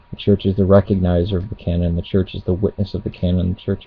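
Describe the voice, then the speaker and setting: A man at a very fast pace, his pitch very deep and low, intonation fairly even, with noticeable background noise. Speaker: religious video blogger. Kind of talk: casual webcam monologue on theology.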